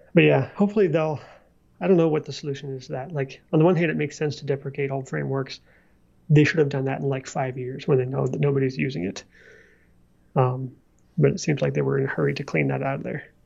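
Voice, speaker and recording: Talking at a very fast pace yet with long, frequent pauses, a man uses a fairly high, somewhat breathy voice with ordinary pitch variation. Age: 30s. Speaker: software developer podcast co-host. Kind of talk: casual chat.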